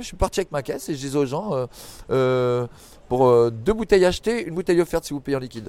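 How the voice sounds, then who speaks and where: Lively intonation and big swings in loudness mark this man's very fast speech. His fairly high voice has a dark, mellow tone. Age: 40s. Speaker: former sex worker. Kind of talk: interview. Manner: animated; halting.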